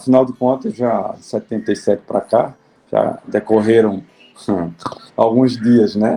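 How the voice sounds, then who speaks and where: A man speaks at a fairly slow pace with a medium pitch and a dark, mellow tone. His intonation stays fairly even, while his loudness swings widely and long, frequent pauses break up his speech. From Alagoas, Brazil. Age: 60s. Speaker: judge. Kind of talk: interview. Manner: halting.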